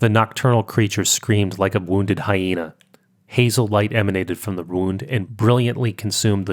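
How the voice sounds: Reading in a natural reading voice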